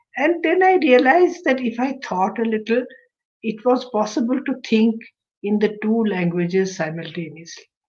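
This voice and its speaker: A woman with a Kashmiri accent at a moderate pace. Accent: Kashmiri Indian English. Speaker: translator and retired English professor. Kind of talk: interview.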